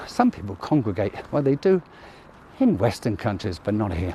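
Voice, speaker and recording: Over noticeable background noise, a man with a British accent speaks at a moderate pace. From UK. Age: 60s. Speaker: vlogger, military veteran. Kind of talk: walking vlog narration. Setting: outdoors at night, walking street. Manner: casual, conversational.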